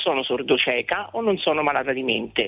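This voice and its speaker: Lively intonation carries the speech at a moderate pace over music in the background. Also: woman. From Rome. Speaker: caller. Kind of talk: phone-in call. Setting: phone call.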